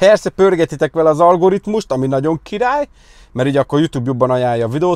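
A man speaks at a very fast pace. The background is quiet and the sound is dry, with no echo. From Hungary. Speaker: car detailing youtuber; car detailing vlogger. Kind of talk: casual vlog talk to viewers; casual vlog chat. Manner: casual, fast, with fillers. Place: car. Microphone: lapel.

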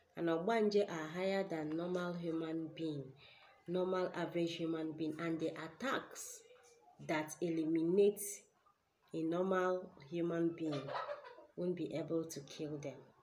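A woman with a Nigerian accent and a fairly low pitch speaks fairly slowly, with long, frequent pauses and light background noise. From Nigeria, Ebonyi State. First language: Igbo. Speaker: spiritual teacher and healer; spiritual teacher. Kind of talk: spiritual teaching video. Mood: earnest, explanatory. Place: home room. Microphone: webcam.

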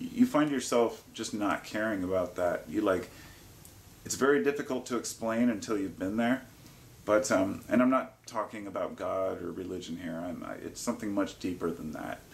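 A man talks at a middling speed, his pitch moving in an ordinary way. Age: 40s. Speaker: YouTuber sharing personal drug-use experience; herbalist vlogger. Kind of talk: informal monologue to camera; casual vlog chat. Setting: living room by a fire. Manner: hesitant, with frequent fillers. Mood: calm, reflective. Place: home room. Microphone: phone near.

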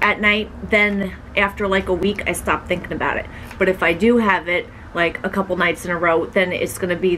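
Over light background noise, a woman speaks fairly quickly with monotone, flat intonation. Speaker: vlogger. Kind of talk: casual vlog chat, Q&A answer. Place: home room. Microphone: camera far.

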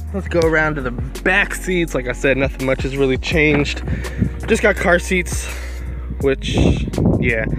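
At a moderate pace, the voice comes through dry with no echo while clear music plays in the background. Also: man. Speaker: car owner vlogger. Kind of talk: casual vlog chat. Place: car. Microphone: phone near.

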